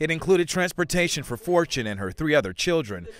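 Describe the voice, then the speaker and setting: With a fairly high pitch and vocal fry, a man speaks in very wide pitch swings. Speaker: TV news reporter. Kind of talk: TV news package reporter narration.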